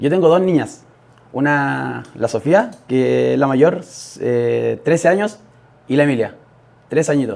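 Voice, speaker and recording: With a Chilean accent, a man talks at a fairly slow pace, leaving long, frequent pauses. Noticeable background noise is present. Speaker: podcast guest, young father. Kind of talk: interview testimony. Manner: halting, many fillers.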